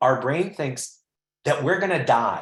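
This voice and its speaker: A somewhat breathy man with very wide pitch swings. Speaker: well-being expert and executive coach. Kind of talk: interactive webinar presentation. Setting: online webinar.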